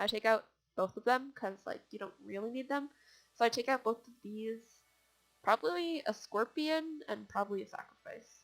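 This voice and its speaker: At a moderate pace, a woman with an unremarkable speaking voice talks with lively intonation, a fairly high pitch and big swings in loudness. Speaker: gaming video creator. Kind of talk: gameplay tutorial. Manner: casual, filler-heavy.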